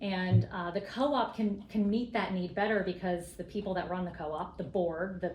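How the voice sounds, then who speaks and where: With audible room echo and noticeable background noise, a woman speaks at a medium pitch and a moderate pace, with ordinary pitch variation. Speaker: co-op advocate. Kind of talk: casual interview.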